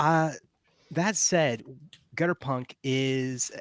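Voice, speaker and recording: Recorded dry and close with no echo, a man talks with an American accent. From Texas. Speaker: game designer and game master. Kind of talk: game introduction and rules explanation on a live stream. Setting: live online stream.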